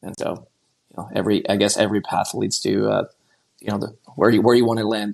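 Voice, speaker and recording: At a very fast pace, a man with a Quebec accent talks between long, frequent pauses. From Quebec, Montreal. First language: French. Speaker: investment banker. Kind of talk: podcast interview. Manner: halting, many repeated words.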